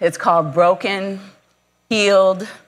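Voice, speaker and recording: A woman talks at a moderate pace. Some room echo can be heard. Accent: American. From Michigan, US. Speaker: nurse anesthetist and missions speaker. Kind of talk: conference talk with personal testimony. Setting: conference breakout session with live audience.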